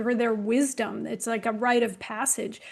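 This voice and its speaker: With an ordinary speaking voice, a woman talks at a moderate pace and a fairly high pitch on a very clean recording with a silent background. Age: 60s. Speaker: women's health expert. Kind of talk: panel discussion.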